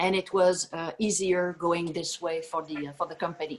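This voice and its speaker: In a French-Canadian accent, a woman speaks at a moderate pace with a fairly low pitch. Her intonation is monotone and flat. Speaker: energy company chief executive. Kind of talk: video Q&A. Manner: halting with many fillers.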